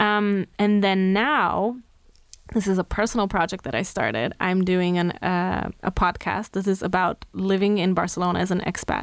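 In a very clean recording with a silent background, a woman with a Slovenian accent speaks at a medium pitch with fairly even intonation. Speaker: makeup artist and hairstylist. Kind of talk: interview chat.

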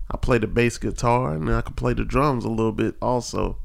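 The speaker is a man. He has an American accent. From central North Carolina (Asheboro area). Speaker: podcast co-host, postal worker and musician. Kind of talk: casual chat.

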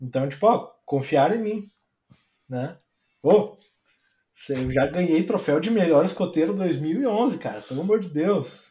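With a dark, mellow tone and a high pitch, a man talks at a fairly slow pace. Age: 20s. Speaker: designer. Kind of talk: casual chat. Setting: live stream. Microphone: audio too quiet.

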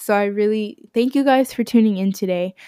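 Recorded dry and close with no echo, a woman uses a plain, everyday voice at a fairly high pitch and a moderate pace. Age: 20s. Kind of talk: casual monologue. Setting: home recording in bedroom.

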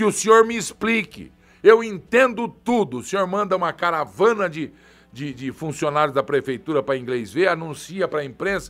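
Here a man speaks with a high pitch. His pitch swings very widely at a moderate pace. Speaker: journalist and online show host. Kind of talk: live political commentary. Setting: studio, live stream. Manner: animated. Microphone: new heavy microphone.

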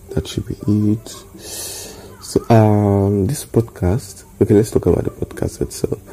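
Over noticeable background noise, a man with a Nigerian accent talks at a fairly slow pace with fairly low pitch and fairly even intonation. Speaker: podcaster. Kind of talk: casual monologue. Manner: halting.

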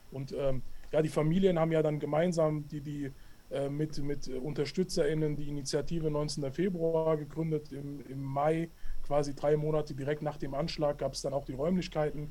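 A man's fairly high voice with a dark, mellow tone, moderate pace and monotone, flat intonation. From Hessen, Hanau. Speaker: anti-racism education activist. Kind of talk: interview. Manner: halting, many fillers.

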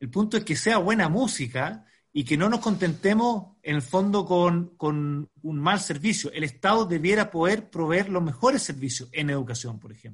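A man's high voice with lively intonation and big swings in loudness, at a moderate pace with hardly any pauses, against a quiet background. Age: 40s. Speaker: education nonprofit founder and engineer. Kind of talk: podcast interview.

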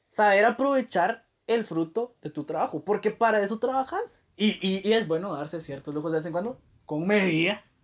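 An animated tone at a moderate pace, with hardly any pauses. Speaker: podcast co-host. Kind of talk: casual chat.

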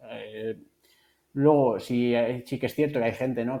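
Dark and mellow, this man's voice sits at medium pitch. He speaks at a moderate pace with monotone, flat intonation. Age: 40s. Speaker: nutritionist. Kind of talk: interview.

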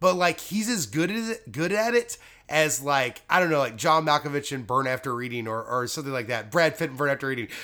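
An American man with a fairly high voice talks at a fairly quick pace, his pitch swinging very widely. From United States. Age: 30s. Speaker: comedian. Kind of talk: casual chat.

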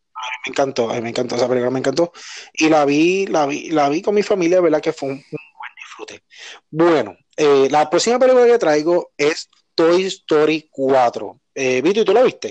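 An unremarkable speaking voice from a man, fairly high in pitch, with lively intonation and a moderate pace. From Puerto Rico. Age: 30s. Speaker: podcast host. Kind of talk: casual chat.

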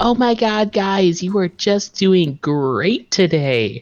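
A squeaky, put-on character voice at middle pitch speaks at a very slow pace. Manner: chirpy, overly encouraging.

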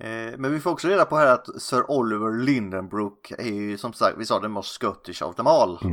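On a very clean recording with a silent background, the speech moves at a moderate pace with lively intonation. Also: man. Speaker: film podcast host. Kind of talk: casual chat.

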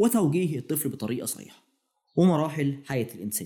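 A man at a very fast pace, fairly high in pitch, somewhat breathy with a dark, mellow tone. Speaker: podcast host. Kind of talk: casual chat.

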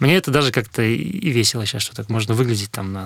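Medium in pitch with ordinary pitch variation, a man speaks in a normal speaking voice. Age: 30s. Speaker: food delivery company executive. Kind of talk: interview. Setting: studio.

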